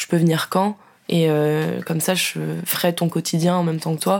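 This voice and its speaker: Fairly low in pitch, a woman talks at a moderate pace in a very clean recording with a silent background. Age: 20s. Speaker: communications graduate and traveller. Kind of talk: casual chat. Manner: animated.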